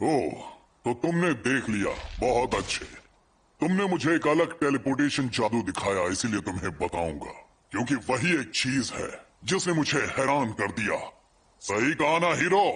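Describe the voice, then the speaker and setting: Putting on a character voice, a man talks at a moderate pace in a medium pitch. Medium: fan dub. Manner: arrogant, mocking.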